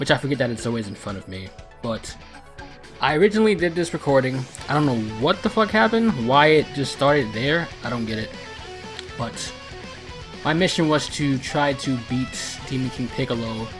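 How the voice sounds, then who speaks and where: Over music in the background, a man speaks at a moderate pace in a medium pitch, with very wide pitch swings and long, frequent pauses. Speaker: gaming commentator. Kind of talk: casual gameplay commentary.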